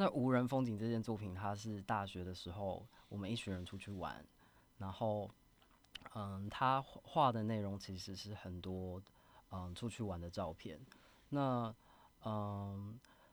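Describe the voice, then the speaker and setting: Pausing long and often, a man talks at a fairly slow pace and a fairly low pitch with ordinary pitch variation. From Taiwan. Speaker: artist. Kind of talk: interview. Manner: soft-spoken; shy.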